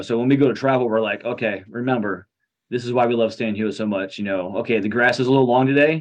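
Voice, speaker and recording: At a fairly quick pace, a man with an American accent talks in a normal speaking voice at medium pitch, his intonation fairly even. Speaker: vintage baseball team captain. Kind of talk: casual interview.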